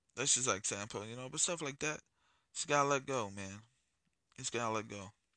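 A man with an American accent talks at a fairly quick pace in a medium pitch with ordinary pitch variation. His tone is bright and sharp against a quiet background. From US inner city. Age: 30s. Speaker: podcast host. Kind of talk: casual monologue. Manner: filler-heavy, loose.

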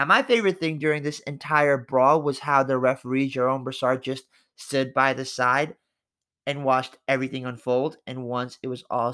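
A man's fairly high, bright, sharp voice on a very clean recording with a silent background. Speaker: football podcast host. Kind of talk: scripted narration.

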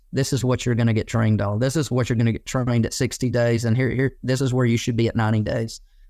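In a very clean recording with a silent background, a man with an Alabama accent speaks very fast with hardly any pauses, his medium-pitched, dark, mellow voice flat and monotone at a very even loudness. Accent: Southern US (Alabama). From Alabama, US South. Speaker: landscaping business owner. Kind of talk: interview. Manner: casual, many fillers.

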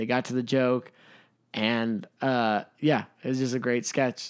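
In an unremarkable speaking voice, a man talks at a fairly slow pace and medium pitch. The recording is very clean, with a silent background. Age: 20s. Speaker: podcast co-host. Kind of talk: casual chat.

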